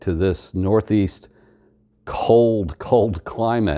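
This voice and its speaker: Against a quiet background, a man with an American accent speaks in a fairly low voice with ordinary pitch variation. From US South (East Tennessee, Georgia). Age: 60s. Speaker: Air Force veteran. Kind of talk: testimony. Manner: halting.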